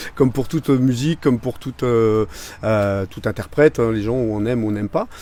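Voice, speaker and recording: This man talks at a fairly quick pace in a medium pitch, with a dark, mellow tone and ordinary pitch variation. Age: 40s. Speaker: singer. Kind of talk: interview. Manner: halting.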